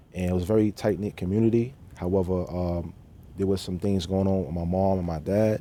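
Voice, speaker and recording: With a New York accent, a man speaks at a fairly quick pace in a very deep, low voice with a dark, mellow tone and fairly even intonation. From New York City (Queens, Bronx). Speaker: formerly incarcerated man sharing his story. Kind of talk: TV interview.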